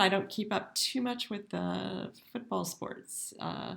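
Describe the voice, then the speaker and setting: Over a very clean recording with a silent background, a woman speaks with an American accent. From US South, Mississippi. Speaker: professor. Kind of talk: lecture. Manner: hesitant, many fillers.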